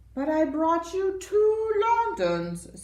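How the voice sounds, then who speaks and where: A woman speaks in a put-on character voice. Her pitch sits extremely high. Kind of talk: bedtime story. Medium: read story.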